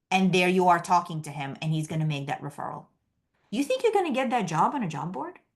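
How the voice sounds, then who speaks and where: Fairly low, somewhat breathy female voice with a New York accent, very fast and lively in intonation, against a quiet background. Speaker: career coach. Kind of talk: webinar presentation.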